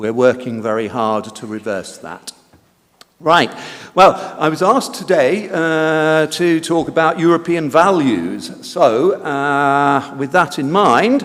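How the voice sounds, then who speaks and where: Speaking with a British accent, a man at a fairly high pitch moves at a very slow pace, his intonation lively and his loudness swinging widely. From Britain. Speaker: conference speaker. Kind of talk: lecture. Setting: conference hall. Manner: hesitant, many fillers.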